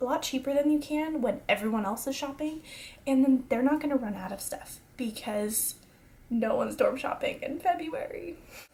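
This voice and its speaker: The woman's voice sits high. Its pitch shifts in a normal way. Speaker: college student vlogger. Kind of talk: casual advice vlog. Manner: fast; energetic.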